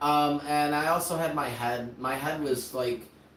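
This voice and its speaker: Noticeable background noise behind a fairly high-pitched male voice. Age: 30s. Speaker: streamer and content creator. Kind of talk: casual chat. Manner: halting, filler-heavy.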